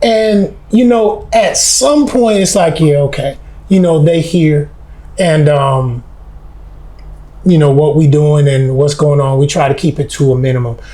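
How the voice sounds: Loud and fairly high-pitched, a man with an American accent speaks in a dark, mellow tone with ordinary pitch variation and audible room echo. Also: fairly slow pace.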